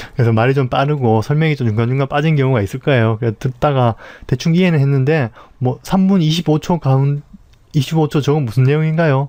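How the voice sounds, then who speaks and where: A man speaks very fast in a fairly high pitch, with a dark, mellow tone, very even loudness and ordinary pitch variation. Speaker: Photoshop tutorial instructor. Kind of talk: tutorial.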